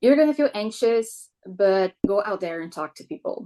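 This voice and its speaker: At a moderate pace, a woman talks with a Brazilian accent. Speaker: military spouse. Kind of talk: podcast interview.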